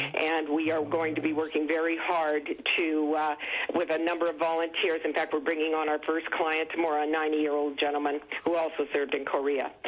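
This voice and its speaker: The delivery is fairly quick, with monotone, flat intonation and very even loudness. Noticeable background noise sits behind it. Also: woman, very deep, low pitch for a woman. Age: 70s. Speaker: caller, nonprofit director. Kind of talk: call-in comment on TV talk show.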